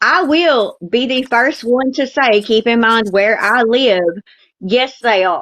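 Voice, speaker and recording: At a very slow pace, a woman with a Southern US accent speaks in a high pitch with ordinary pitch variation. Her loudness stays very even against a quiet background. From US South. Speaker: TikTok live participant. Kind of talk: casual chat. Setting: live stream.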